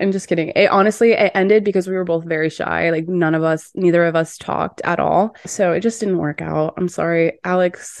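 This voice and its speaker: An unremarkable speaking voice, a woman's at a fairly low pitch, moves at a fairly quick pace with fairly even intonation and hardly any pauses. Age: 20s. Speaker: podcast host and dating coach. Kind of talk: casual monologue.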